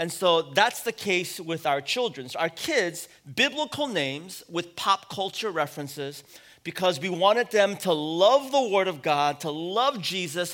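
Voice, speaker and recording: A man's high, bright, sharp voice with a West Coast American accent, lively intonation and a fairly slow pace, on a very clean recording with a silent background. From US West Coast, San Francisco. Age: 40s. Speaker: pastor. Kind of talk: sermon.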